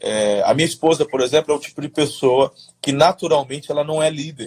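Here a man speaks at a fairly high pitch. His voice is somewhat breathy. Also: dry, close sound with no echo. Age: 40s. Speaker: pastor. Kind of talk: casual interview on leadership. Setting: livestream.

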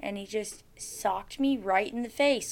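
At a fairly slow pace, a woman speaks with a bright, sharp tone at medium pitch, captured on a very clean recording with a silent background. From Alaska, Soldotna. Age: 20s. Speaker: person in addiction recovery. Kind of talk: testimony. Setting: office.

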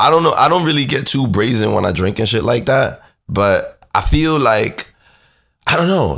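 With vocal fry and very wide pitch swings, a man talks at a moderate pace and medium pitch. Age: 30s. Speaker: solo podcast host. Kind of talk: casual monologue. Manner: relaxed, conversational with fillers.

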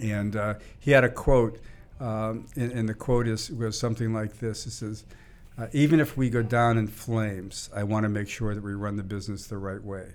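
A man speaks at a moderate pace with an American accent and fairly even intonation. He has an unremarkable speaking voice with a fairly low pitch. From US Northeast, Boston area. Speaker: venture capitalist. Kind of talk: interview conversation.

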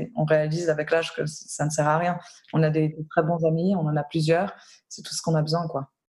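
At a fairly quick pace, a woman with a very deep, low pitch talks in a somewhat breathy, monotone, flat way. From Switzerland. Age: 20s. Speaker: humanitarian worker. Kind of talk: interview. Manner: halting.

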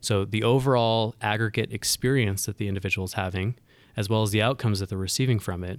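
A man at a very fast pace with fairly even intonation, on a very clean recording with a silent background. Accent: American. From US West, Northern California. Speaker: consultant. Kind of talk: casual interview. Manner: halting, with frequent repetitions.

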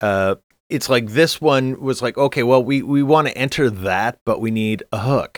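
A man with an ordinary speaking voice talks at a medium pitch and moderate pace with ordinary pitch variation, in a dry, close sound with no echo and a very clean recording on a silent background. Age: 50s. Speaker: podcast co-host. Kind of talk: casual chat.

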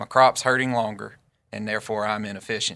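With a Southern US accent, a man speaks fairly quickly at medium pitch in a bright, sharp tone and monotone, flat intonation. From Northeast Arkansas. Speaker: farmer and agtech co-founder. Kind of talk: podcast interview.

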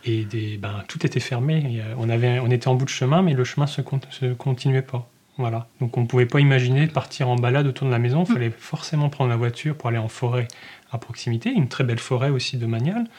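A man speaks at a fairly quick pace in a medium pitch, his intonation fairly even. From northern Morvan, Burgundy, France. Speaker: naturalist. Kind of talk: interview. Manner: halting.

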